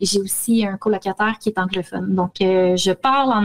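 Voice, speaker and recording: A woman with a Quebec accent sounds somewhat breathy in a dry, close sound with no echo. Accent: Québécois French. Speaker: spiritual practice radio co-host. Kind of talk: casual chat.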